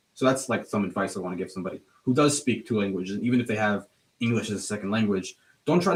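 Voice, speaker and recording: The voice is somewhat breathy and very fast. Its pitch varies in an ordinary way. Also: man. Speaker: alumnus, college student. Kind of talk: casual interview. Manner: halting, many fillers.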